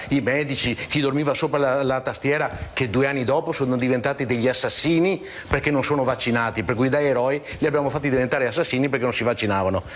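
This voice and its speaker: A man talks at a very fast pace in a medium pitch, with noticeable background noise behind him. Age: 60s. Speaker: regional political activist. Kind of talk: TV talk show discussion. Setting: TV studio. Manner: animated.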